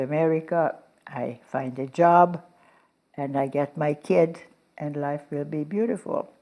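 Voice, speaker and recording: A woman with a Hungarian accent speaks at a very slow pace, her very deep, low voice dark and mellow in tone with ordinary pitch variation. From Hungary. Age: 90s. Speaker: Holocaust survivor and philanthropist. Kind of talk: interview.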